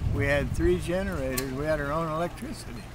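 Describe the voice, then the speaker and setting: Room echo is audible around a man's voice. Noticeable noise fills the background. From Ohio. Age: 80s+. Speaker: war-era work program veteran, retired teacher. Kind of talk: interview. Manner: halting.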